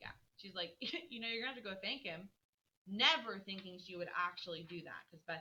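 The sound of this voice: The voice reads in an unforced manner. The background is quiet.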